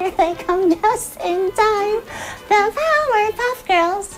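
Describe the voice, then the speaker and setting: A cartoonish character voice at an extremely high pitch speaks very slowly over clear background noise. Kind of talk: cartoon narration. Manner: announcer-like, upbeat.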